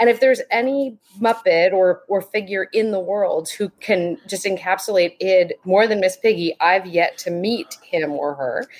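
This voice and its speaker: A woman at a medium pitch, with an unremarkable speaking voice, ordinary pitch variation and a moderate pace. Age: 40s. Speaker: podcast guest, muppet fan by marriage. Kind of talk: casual chat.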